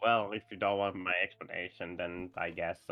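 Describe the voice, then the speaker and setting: A man puts on a character voice at a fairly low pitch. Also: moderate pace. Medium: actual play. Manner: hesitant, murmuring.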